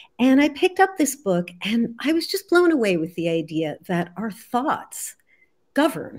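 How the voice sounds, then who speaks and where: Her pitch swings very widely as this woman speaks at a moderate pace in a somewhat breathy voice. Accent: American. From US Northeast, New Jersey. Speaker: healer and author. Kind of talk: interview.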